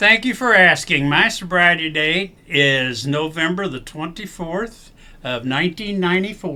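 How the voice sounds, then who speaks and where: With an American accent, a man speaks at a fairly slow pace in a high pitch. His tone is bright and sharp, and his intonation is lively. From southern Indiana (Salem). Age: 70s. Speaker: guest in recovery. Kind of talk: testimony. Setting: podcast studio.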